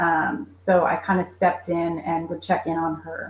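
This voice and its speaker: A woman with a plain, everyday voice, fairly low in pitch, at a fairly slow pace. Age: 40s. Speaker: caregiver and homeschool mom. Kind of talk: interview.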